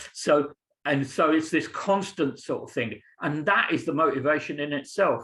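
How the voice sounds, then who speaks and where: A man talks with an English accent. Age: 60s. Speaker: teacher. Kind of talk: Q&A answer in webinar. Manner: halting.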